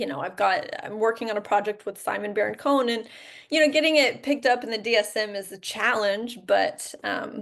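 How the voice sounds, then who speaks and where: Vocal fry runs through a woman's fairly high-pitched voice. She talks at a fairly quick pace, with big swings in loudness. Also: ordinary pitch variation. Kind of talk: presentation to online support group. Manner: hesitant fillers, frequent um.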